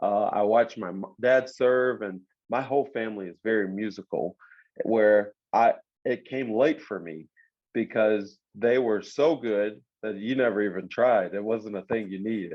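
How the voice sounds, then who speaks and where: A man speaks in a plain, everyday voice, fairly low in pitch, at a moderate pace. His loudness swings widely, while his pitch varies an ordinary amount. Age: 30s. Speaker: worship leader and singer. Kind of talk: casual chat.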